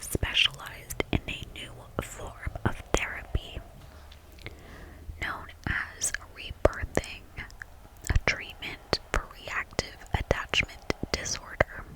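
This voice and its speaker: Whispering from a woman, very slow, with long, frequent pauses, big swings in loudness, and noticeable background noise. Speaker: ASMR artist. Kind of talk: whispered true crime reading. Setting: ASMR microphone recording. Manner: whispered, soft.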